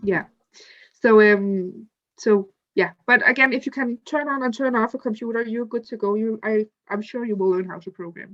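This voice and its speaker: A woman with a non-native accent talks at a fairly quick pace, with a fairly high pitch and ordinary pitch variation. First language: not English. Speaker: student ambassador presenter. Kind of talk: online info session presentation. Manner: halting.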